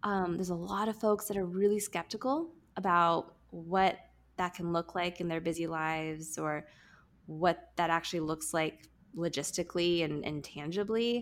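Fairly low in pitch, a woman with an unremarkable speaking voice shows ordinary pitch variation. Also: moderate pace. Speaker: podcast host. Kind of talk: interview conversation.

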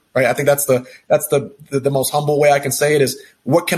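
A somewhat breathy voice with an American accent, at a fairly quick pace. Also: man. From Texas. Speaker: healthcare executive. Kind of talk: interview. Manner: halting, many fillers and repeated words.

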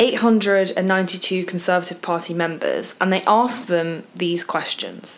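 At a very slow pace, a woman talks in a medium pitch amid noticeable background noise. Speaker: podcast co-host. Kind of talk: casual chat.

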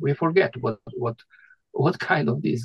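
A man speaks in a somewhat breathy voice. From Croatia. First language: Croatian. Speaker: retired doctor and poet. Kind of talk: interview conversation. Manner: halting.

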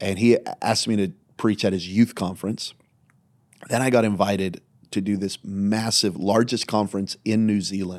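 Fairly low-pitched man with an American accent in a normal speaking voice, fairly even intonation, moderate pace, and a very clean recording with a silent background. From US Southwest, small-town New Mexico. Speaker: pastor. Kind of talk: casual chat.

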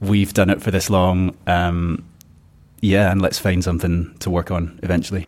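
A man with a Glasgow accent speaks at a moderate pace in a very deep, low, monotone and flat voice, in a very clean recording with a silent background. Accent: Glasgow Scottish. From Scotland, Glasgow. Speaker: circus producer. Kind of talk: interview.

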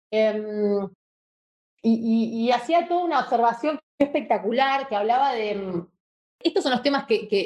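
At a moderate pace, a woman uses an ordinary speaking voice, pitched fairly high, with ordinary pitch variation. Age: 30s. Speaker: advertising strategist. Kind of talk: casual interview.

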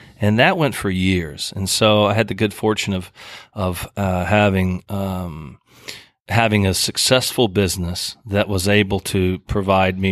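A man with an American accent speaks in a very deep, low pitch with fairly even intonation. The recording is very clean and the background silent. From rural Oklahoma. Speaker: music festival founder. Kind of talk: casual interview. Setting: theater.

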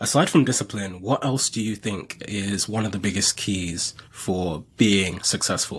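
Somewhat breathy and fairly low-pitched, a man talks with hardly any pauses. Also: ordinary pitch variation, fairly slow pace. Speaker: podcast host. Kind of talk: interview.

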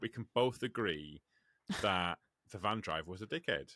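Here a man speaks with an English accent. His voice is fairly low and his pace fairly slow. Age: 30s. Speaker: podcast host and truck driver. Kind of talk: casual chat.

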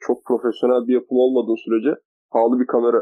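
Speaking at a very fast pace, a man at medium pitch keeps a monotone, flat intonation. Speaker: university student podcaster. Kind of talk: casual chat.

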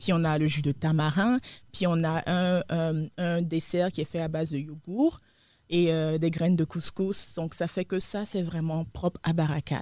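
A woman talks at a fairly slow pace on a very clean recording, the background silent. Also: fairly low pitch for a woman. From Côte d'Ivoire. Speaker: restaurant co-owner. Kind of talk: interview. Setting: studio. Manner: hesitant, many fillers.

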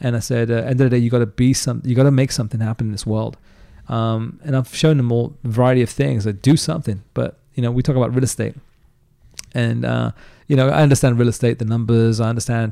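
With an American accent, a man talks at a very fast pace in a medium-pitched, dark, mellow tone. His intonation stays fairly even. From England, London overspill town. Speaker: entrepreneur. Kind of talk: casual interview conversation.

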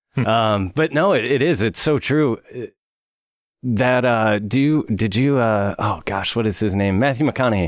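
In a normal speaking voice, a man with an American accent talks at a medium pitch with ordinary pitch variation and very even loudness. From US South, Alabama. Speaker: wellness coach. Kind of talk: casual chat.

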